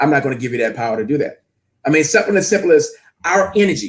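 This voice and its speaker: A man speaks with an American accent. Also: very clean recording, silent background. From US South, New Orleans, Louisiana. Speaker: fitness and leadership coach. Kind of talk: interview. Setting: live stream. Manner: loud; high energy.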